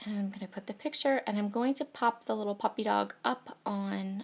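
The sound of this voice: This woman talks at a fairly quick pace in a croaky voice with vocal fry. Her pitch is medium, with ordinary pitch variation.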